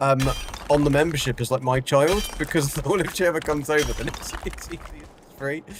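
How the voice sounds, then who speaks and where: There is noticeable background noise as a man talks in a strong British accent. His pitch is fairly high, his pace fairly quick, and his intonation fairly even. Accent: strongly British. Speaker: game streamer. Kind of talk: casual chat. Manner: hesitant, filler-heavy.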